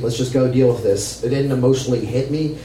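Noticeable background noise and audible room echo surround this recording. A man speaks at a medium pitch with fairly even intonation. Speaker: comedian. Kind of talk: storytelling performance. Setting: stage with audience.

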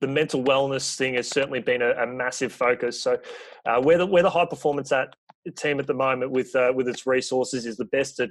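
A man with an Australian accent speaks at medium pitch and a fairly quick pace. His intonation is fairly even against a quiet background. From Australia, rural Victoria. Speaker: sports PR and communications coordinator. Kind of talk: podcast interview.

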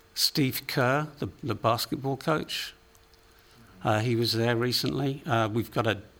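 Speaking with an English accent, this voice moves at a moderate pace with fairly even intonation. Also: man. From England. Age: 50s. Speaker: recording studio owner. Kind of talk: interview. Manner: halting, many repeated words.

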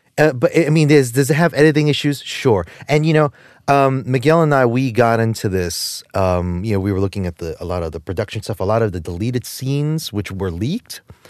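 The speaker has a New Jersey accent and uses very wide pitch swings. The pace is fairly quick over a quiet background. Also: man, medium pitch for a man. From New Jersey, Jersey City. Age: 40s. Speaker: podcast co-host. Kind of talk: casual chat. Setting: studio. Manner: halting, many repeated words.

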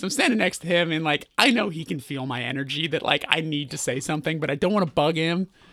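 Speaking at a very fast pace with hardly any pauses, a man with a Californian accent uses a fairly high pitch, ordinary pitch variation and a bright, sharp tone on a very clean recording with a silent background. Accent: Californian American. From Burbank, California. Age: 30s. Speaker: musician. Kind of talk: casual chat. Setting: on tour in Chicago.

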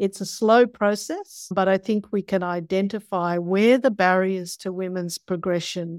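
A woman speaks with an Australian accent at a fairly slow pace, her pitch medium and her intonation fairly even. The recording is very clean, with a silent background. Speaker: biology professor and climate scientist. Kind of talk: interview.

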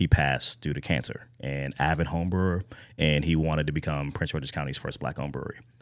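A man's very deep, low voice with vocal fry, at a very fast pace and with fairly even intonation, in a very clean recording with a silent background. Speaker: brewery co-founder. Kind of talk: casual chat.

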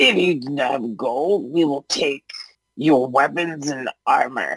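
Someone puts on a character voice at a low-to-middle pitch, speaking at a fairly slow pace. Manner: demanding, threatening.

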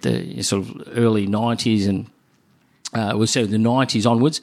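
A man speaks in a fairly low pitch at a moderate pace. His intonation stays fairly even. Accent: Australian. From Melbourne, Australia. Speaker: cardiologist. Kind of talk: interview. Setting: doctor's office. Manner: halting, repeats words.

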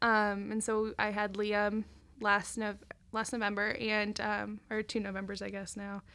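With an American accent, a woman of medium pitch speaks at a fairly slow pace in a bright, sharp, monotone, flat delivery on a very clean recording with a silent background. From Ohio, Dayton area. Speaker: stay-at-home mom, ministry team member. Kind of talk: casual interview chat. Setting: studio.

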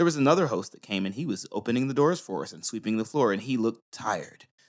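A man with an American accent talks at a very fast pace. His pitch sits in the medium range. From US. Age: 30s. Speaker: podcast co-host. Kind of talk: casual chat. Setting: studio.

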